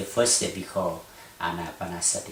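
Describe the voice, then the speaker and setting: A man at a fairly slow pace, with audible room echo and noticeable background noise. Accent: Thai. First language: Thai. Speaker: Buddhist meditation teacher. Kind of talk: lecture. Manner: halting.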